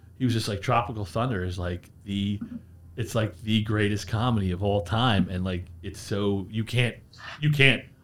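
A man talks in an unremarkable speaking voice with an American accent, his pitch fairly low. He keeps a moderate pace and ordinary pitch variation. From US Northeast, Bucks County, Pennsylvania. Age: 40s. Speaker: beverage company representative. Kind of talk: casual interview chat. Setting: studio.

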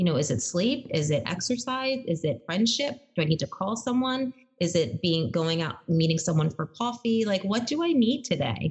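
Energetic in tone, a woman speaks at a moderate pace and a medium pitch, with very wide pitch swings. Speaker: podcast host and speaker. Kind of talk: casual interview chat. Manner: energetic, voice goes up and down.

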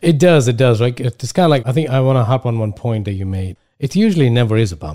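A man at a very fast pace with hardly any pauses, medium pitch, a dark, mellow tone and lively intonation. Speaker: podcast host. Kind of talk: casual interview.

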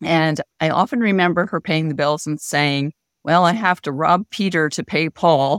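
A woman with an American accent and an ordinary speaking voice, fairly low pitch, ordinary pitch variation and moderate pace, in a very clean recording with a silent background and a dry, close sound with no echo. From Pennsylvania, Harrisburg area. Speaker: financial therapist and coach. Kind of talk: interview.

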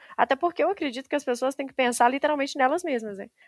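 No echo colors the dry, close sound. Nothing stirs in the quiet background. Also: woman. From Brazil, Minas Gerais countryside. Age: 20s. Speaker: civil engineer. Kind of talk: interview.

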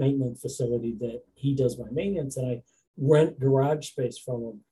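With an American accent, a man speaks in a dark, mellow tone that is somewhat breathy. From southern New Hampshire, US (Nashua). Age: 50s. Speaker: trucking company owner. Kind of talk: interview.

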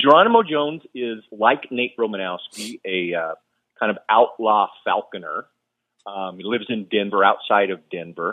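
Here a man has a normal speaking voice at a fairly low pitch. His pace is moderate and his pitch variation ordinary. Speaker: author. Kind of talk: interview chat.

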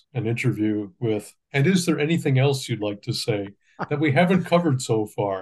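A man speaks at a medium pitch with lively intonation and a somewhat breathy sound. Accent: Canadian. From Ontario, Canada. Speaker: journalist. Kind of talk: interview questions.

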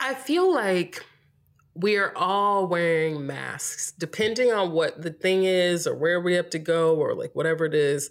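A woman speaks with an American accent in an ordinary speaking voice, her pitch fairly low. She goes at a fairly slow pace with ordinary pitch variation. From US South, North Carolina (Greensboro). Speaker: podcast guest. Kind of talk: casual chat.

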